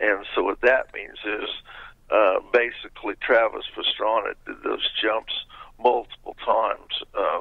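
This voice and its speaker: A man at a fairly slow pace, with big swings in loudness. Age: 60s. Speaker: former motorcycle stunt jumper. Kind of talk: interview.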